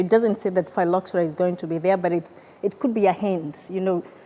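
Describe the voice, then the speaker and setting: A woman's dark, mellow tone with a non-native accent and ordinary pitch variation. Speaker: research scientist. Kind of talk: presentation. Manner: halting, with repeated words.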